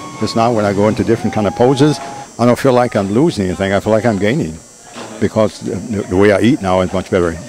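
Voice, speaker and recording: A man with a fairly low pitch talks at a very fast pace and ordinary pitch variation over noticeable background noise. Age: 70s. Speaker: masters bodybuilder. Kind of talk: interview answer.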